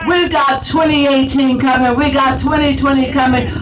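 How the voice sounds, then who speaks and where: Crowd noise and audible room echo surround a woman speaking at a moderate pace with a high pitch. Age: 70s. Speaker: activist speaker at a rally. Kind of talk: rally speech. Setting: outdoor rally with crowd. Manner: animated.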